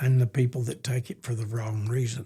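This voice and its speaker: A man with a dark, mellow tone speaks in a somewhat breathy voice with fairly even intonation. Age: 80s+. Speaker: grandparent adoptive parent. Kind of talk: interview testimony.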